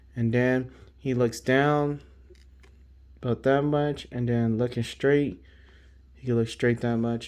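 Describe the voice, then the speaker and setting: It is quiet as a man speaks at a very slow pace. His pitch is medium and his intonation fairly even. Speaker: toy collector YouTuber. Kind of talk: product review. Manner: quiet, hushed.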